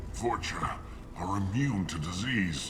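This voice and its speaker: Loud background noise surrounds a man using a put-on character voice, pitched fairly low and delivered at a fairly slow pace. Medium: machinima. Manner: bitter, halting.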